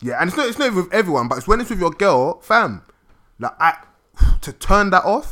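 A man projects a raised, high-pitched voice with a bright, sharp tone and very wide pitch swings. Long, frequent pauses stand out on a very clean recording with a silent background. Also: fairly quick pace. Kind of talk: casual chat.

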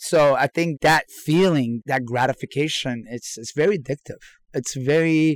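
A man with an American accent uses a normal speaking voice at a moderate pace, with ordinary pitch variation and a dry, close sound with no echo. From Iran, came to the US as a teen. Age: 40s. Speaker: chef. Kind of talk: casual interview. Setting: remote from an RV park.

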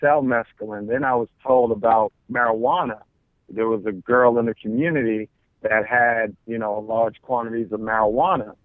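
Here is a man with an American accent and a plain, everyday voice. He talks at a moderate pace and medium pitch, with fairly even intonation. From New York City (Queens). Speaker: pastor. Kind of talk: interview.

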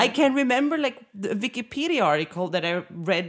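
Speaking with a Swedish accent at a moderate pace, a woman sounds animated, her fairly high pitch making very wide swings. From Sweden. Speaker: podcast host. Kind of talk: casual interview chat. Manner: animated, swears freely.

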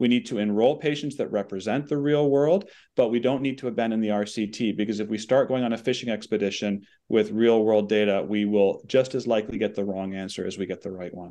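A man with a Canadian accent talks at a very fast pace in a dark, mellow tone, with ordinary pitch variation against a quiet background. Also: medium pitch for a man. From Canada. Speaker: oncologist and policy researcher. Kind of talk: debate.

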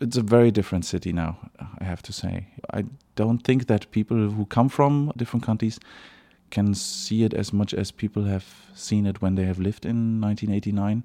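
On a very clean recording with a silent background, a man with a German accent speaks in a fairly low pitch, his dark, mellow tone carrying fairly even intonation. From East Berlin, Germany. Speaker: actor. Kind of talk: interview. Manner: halting, with repeated words.

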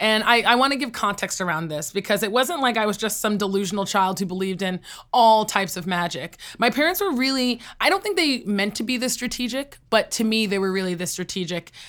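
In a New York accent, a woman talks very fast at a fairly high pitch with lively intonation, on a very clean recording with a silent background. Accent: American (New York). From New York State, US (Poughkeepsie). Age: 20s. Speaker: entrepreneur and inventor. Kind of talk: interview.

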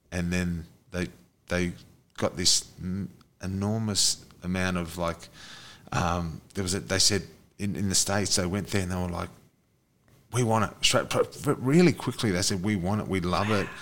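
With an Australian accent, a man speaks at a very deep, low pitch. His intonation is fairly even, and he leaves long, frequent pauses. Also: moderate pace. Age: 40s. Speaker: podcast host. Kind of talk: casual chat.

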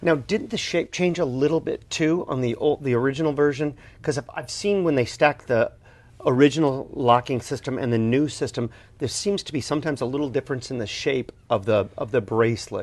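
Here a man talks in a plain, everyday voice at a fairly quick pace, with a fairly high pitch. His pitch varies in an ordinary way, and the background is quiet. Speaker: co-host, watch collector. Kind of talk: casual interview.

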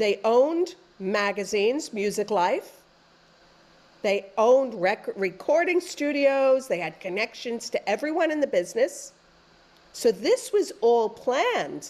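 The speaker has a New York accent, a fairly slow pace and very wide pitch swings. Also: woman, high pitch for a woman. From New York City, Queens. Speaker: author and former music journalist. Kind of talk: interview.

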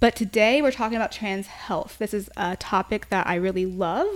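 A woman's normal speaking voice at medium pitch, fairly quick, with ordinary pitch variation. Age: 30s. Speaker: sex podcast host. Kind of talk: casual chat.

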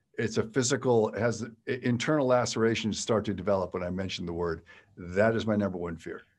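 A man with an American accent uses a plain, everyday voice, pitched fairly low with ordinary variation. He talks at a fairly quick pace on a very clean recording with a silent background. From Western Pennsylvania. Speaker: podcast host, author and keynote speaker. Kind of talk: interview. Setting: studio.

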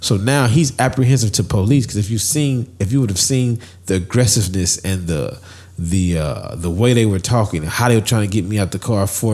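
A man with a fairly low pitch and a normal speaking voice uses ordinary pitch variation in a very clean recording with a silent background. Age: 30s. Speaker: podcast co-host. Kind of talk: casual chat.

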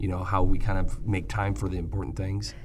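A man with an American accent speaks in a fairly low, somewhat breathy voice. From Michigan, US Midwest. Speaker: podcast host, ophthalmologist. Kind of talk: interview conversation.

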